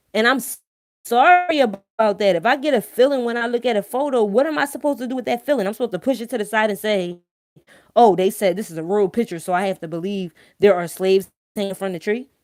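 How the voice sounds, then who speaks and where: A woman with a strong Philadelphia accent talks at a very fast pace with lively intonation and an animated tone in a very clean recording over a silent background. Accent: thick Philadelphia. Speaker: live-stream host. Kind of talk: casual live-stream monologue.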